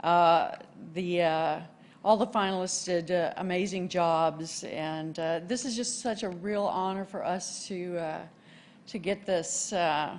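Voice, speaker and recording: Speaking at a fairly slow pace, a woman with a Texas accent uses a medium pitch and ordinary pitch variation. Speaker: award winner, co-op communicator. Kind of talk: acceptance speech. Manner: halting, many fillers.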